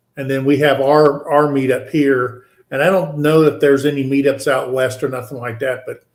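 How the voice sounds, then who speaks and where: A man's fairly high, moderate-paced voice, described as an ordinary speaking voice. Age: 60s. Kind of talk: casual chat.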